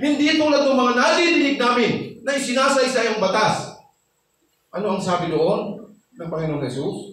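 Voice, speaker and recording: In a room with audible echo, a man talks at an extremely high pitch with lively intonation at a moderate pace. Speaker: pastor. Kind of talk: sermon. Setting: church. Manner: loud when teaching; animated.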